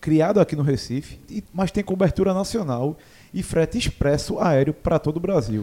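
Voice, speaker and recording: Using an ordinary speaking voice, a man with a fairly high pitch speaks at a moderate pace with lively intonation. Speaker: sports podcast host. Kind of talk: casual chat. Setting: studio.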